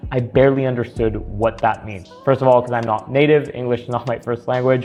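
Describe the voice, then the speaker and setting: A man talks fairly quickly while music plays behind him. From France. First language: French. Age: 20s. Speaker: sales coach, appointment setter. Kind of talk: casual talking-head story.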